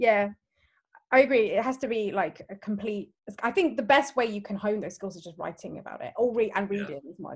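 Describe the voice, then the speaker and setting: Somewhat breathy speech moves at a fairly quick pace with lively intonation and big swings in loudness. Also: woman, fairly high pitch for a woman. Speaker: podcast host. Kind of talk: casual chat.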